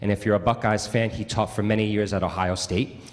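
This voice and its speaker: A man speaks at a fairly quick pace with a Long Island accent. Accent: Long Island New York. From Long Island, New York. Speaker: bassoonist. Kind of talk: spoken introduction at a concert. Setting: church concert with audience. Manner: conversational, with frequent fillers.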